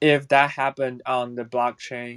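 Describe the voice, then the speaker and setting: In a very clean recording with a silent background, a man with a Chinese accent speaks at a medium pitch and a fairly slow pace. The sound is dry and close, with no echo. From China. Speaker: audience member asking a question. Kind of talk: audience question. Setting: audio chat room. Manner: halting.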